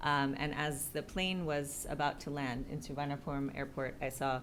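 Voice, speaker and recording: In an American accent, the speaker talks at a moderate pace. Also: woman. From United States. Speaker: executive director of a city resilience network. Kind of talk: panel discussion introduction. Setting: live event with audience. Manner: hesitant, many fillers.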